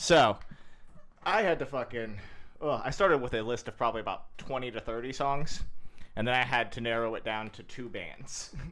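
A man in a normal speaking voice speaks at a moderate pace and medium pitch with ordinary pitch variation. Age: 30s. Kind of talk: casual chat.

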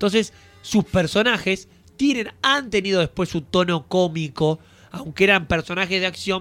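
Speaking at a moderate pace, a man uses a high pitch and lively intonation, his tone bright and sharp. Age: 20s. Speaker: podcast host. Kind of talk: casual chat.

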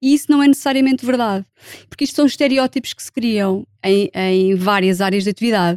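A woman with a plain, everyday voice talks at a fairly quick pace and fairly high pitch, her loudness swinging widely, in a dry, close recording with no echo. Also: ordinary pitch variation. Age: 40s. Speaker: sociologist and HR specialist. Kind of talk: casual chat.

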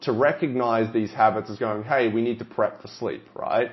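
An energetic man with an Australian accent, medium in pitch, at a moderate pace. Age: 20s. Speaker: fitness coach and podcast host. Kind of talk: solo podcast monologue.

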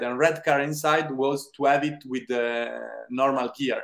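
A man speaks with an Italian accent. His pitch sits fairly high. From Italy. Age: 20s. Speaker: film director. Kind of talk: interview. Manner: halting.

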